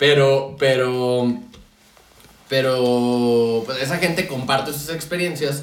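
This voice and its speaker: A man with a Mexican accent speaks very slowly at medium pitch with fairly even intonation. Audible room echo and noticeable background noise fill the recording. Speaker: podcast co-host. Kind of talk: casual chat. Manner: halting.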